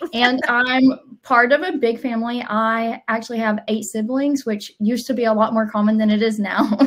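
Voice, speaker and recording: A woman with a Southern US accent speaks at a fairly high pitch with fairly even intonation and hardly any pauses. Noticeable background noise runs underneath. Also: moderate pace. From US South, Alabama. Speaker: digital transformation team member, co-presenter. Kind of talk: webinar introduction, casual.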